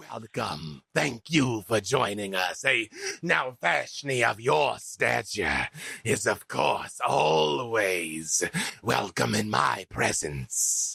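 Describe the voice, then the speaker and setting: A man's put-on character voice, fairly low in pitch, at a very slow pace. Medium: actual play. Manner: grandiose and smarmy.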